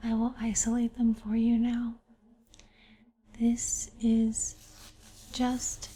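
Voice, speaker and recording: A very slow pace in a soft-spoken delivery. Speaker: ASMR creator. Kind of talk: ASMR painting tutorial.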